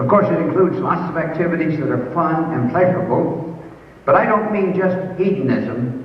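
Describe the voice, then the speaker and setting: A man with an American accent speaks at a fairly slow pace, with audible room echo and noticeable background noise. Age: 70s. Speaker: school alumnus speaker. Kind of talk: speech. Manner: formal.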